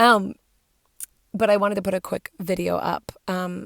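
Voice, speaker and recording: A woman with vocal fry speaks fairly slowly at a medium pitch in a dry, close sound with no echo. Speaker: religious video blogger. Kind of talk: casual spiritual talk. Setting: in a parked car. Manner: hesitant, many fillers.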